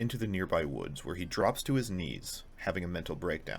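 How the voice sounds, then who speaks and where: In a playful tone with vocal fry, a man talks at a fairly quick pace through very wide pitch swings. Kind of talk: casual video essay commentary. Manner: playful, sarcastic.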